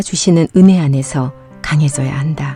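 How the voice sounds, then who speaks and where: Over music in the background, a woman speaks with a very deep, low pitch and ordinary pitch variation. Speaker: audiobook narrator, senior voice actor. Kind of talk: Bible reading.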